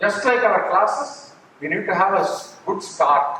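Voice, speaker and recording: Speaking fairly slowly in an Indian accent, a man uses a high voice with ordinary pitch variation. Background noise is noticeable, and the room echo is audible. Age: 70s. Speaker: NGO executive. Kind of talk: speech to staff. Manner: halting.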